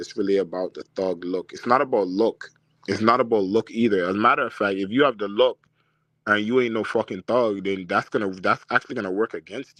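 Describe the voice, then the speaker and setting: A man with a Toronto accent speaks at a fairly quick pace in a fairly low voice. The sound is dry and close with no echo, over a quiet background. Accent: Toronto accent, sounds Jamaican to outsiders. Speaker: dating advice streamer. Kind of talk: live stream Q&A. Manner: casual, animated.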